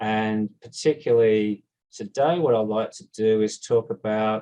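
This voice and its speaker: This man has a dark, mellow tone and a medium pitch, speaking in an Australian accent with ordinary pitch variation. The sound is dry and close, with no echo. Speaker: scientist, proteomics researcher. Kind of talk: conference talk.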